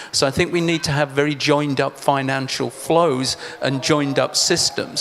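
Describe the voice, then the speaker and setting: A man speaks at a moderate pace with a fairly high pitch and a monotone, flat intonation. His loudness stays very even over noticeable background noise. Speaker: agricultural researcher. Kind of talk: panel discussion.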